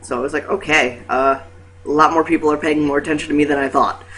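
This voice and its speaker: Noticeable background noise runs under this recording. A man speaks at a fairly high pitch with ordinary pitch variation. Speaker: vlogger. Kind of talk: casual vlog. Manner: hesitant, many fillers.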